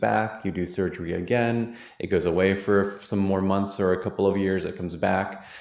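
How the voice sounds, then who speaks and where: A man's fairly low-pitched voice with fairly even intonation, in audible room echo. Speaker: physician and immunotherapy program director. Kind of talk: lecture. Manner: fast.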